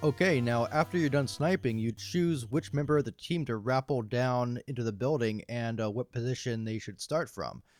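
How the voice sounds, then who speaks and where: Music plays in the background as a man with a medium pitch and ordinary pitch variation speaks with hardly any pauses, the sound dry and close with no echo. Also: moderate pace. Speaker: video game reviewer. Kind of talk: game review voiceover. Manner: casual with many fillers.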